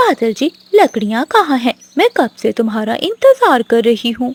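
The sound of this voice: A cartoonish, female-sounding character voice speaks at a moderate pace and a high pitch.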